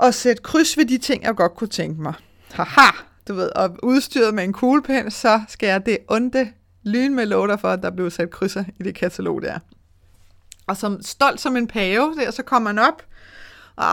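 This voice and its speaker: An ordinary speaking voice moves at a fairly slow pace with lively intonation. The recording is very clean, with a silent background. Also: woman. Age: 40s. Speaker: money mindset coach and podcast host. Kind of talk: solo podcast monologue. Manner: casual with frequent fillers.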